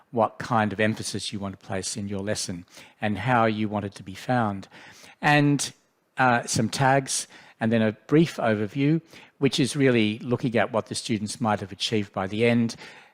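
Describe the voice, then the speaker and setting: Speech in an Australian accent at a moderate pace with ordinary pitch variation and big swings in loudness, on a very clean recording with a silent background. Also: man, medium pitch for a man. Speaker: education specialist leading a software workshop. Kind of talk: tutorial.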